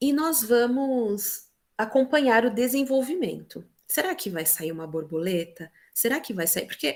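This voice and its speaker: A woman is talking at a moderate pace. Her pitch rises and falls across a very wide range. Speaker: teacher. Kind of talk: presentation in online meeting. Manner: animated.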